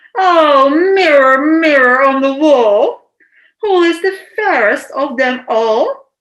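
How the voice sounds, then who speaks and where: A woman's shrill, shouting, put-on character voice, high-pitched, with lively intonation and a very slow pace. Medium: read story. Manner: shouting, shrill.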